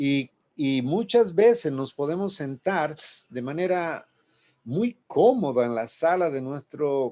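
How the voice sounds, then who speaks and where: At a very slow pace, a man with a dark, mellow tone and fairly high pitch makes very wide pitch swings on a very clean recording with a silent background. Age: 60s. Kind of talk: radio sermon. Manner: halting, with repetitions.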